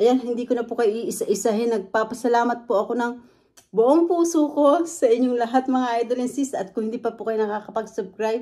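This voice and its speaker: A loud woman's voice, high-pitched with a dark, mellow tone, fairly quick pace and ordinary pitch variation. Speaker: food vlogger. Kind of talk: mukbang vlog chat. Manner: talkative.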